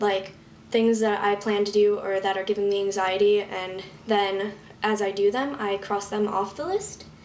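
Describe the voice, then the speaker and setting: Noticeable background noise sits behind a woman speaking at a medium pitch and moderate pace with flat, monotone intonation. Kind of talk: casual talk to camera.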